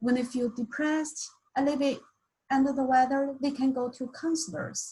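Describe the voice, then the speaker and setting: With a Mandarin accent, a woman speaks at a moderate pace in a high pitch. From China. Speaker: university staff member. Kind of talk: welcome presentation.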